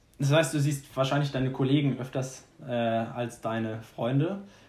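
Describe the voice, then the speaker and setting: Somewhat breathy at medium pitch, a man talks with ordinary pitch variation and long, frequent pauses. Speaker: podcast host. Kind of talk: casual chat.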